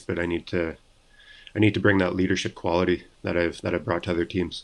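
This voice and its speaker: In a Canadian accent, a man speaks very fast in a very deep, low pitch with monotone, flat intonation. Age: 30s. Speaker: professional ice hockey player. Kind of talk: interview. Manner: halting, many repetitions and fillers.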